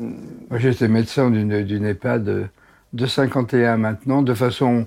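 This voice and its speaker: On a very clean recording with a silent background, a man with a medium pitch speaks at a very slow pace in a dark, mellow tone with fairly even intonation. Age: 80s+. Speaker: doctor. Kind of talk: interview. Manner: halting.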